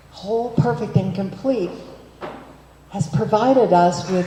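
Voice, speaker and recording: Against noticeable background noise, a woman talks at a moderate pace and medium pitch. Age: 70s. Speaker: minister. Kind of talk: sermon.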